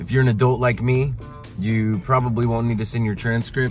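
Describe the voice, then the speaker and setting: Fairly quick speech with a dry, echo-free sound and faint music in the background. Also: man. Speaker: adult college student vlogger. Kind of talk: casual vlog chat. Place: car. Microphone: phone near.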